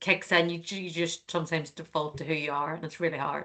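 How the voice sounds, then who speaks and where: Speaking at a fairly quick pace, a woman with an Irish accent has a fairly low pitch, a bright, sharp tone and fairly even intonation. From Ireland. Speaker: finance executive. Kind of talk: panel discussion. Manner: fast.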